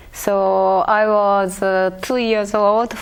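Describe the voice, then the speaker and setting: Speech comes at a very slow pace with ordinary pitch variation. Audible room echo surrounds it. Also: woman. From Japan, Akita and Tokyo. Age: 70s. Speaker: Butoh dancer. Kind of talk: interview. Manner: halting.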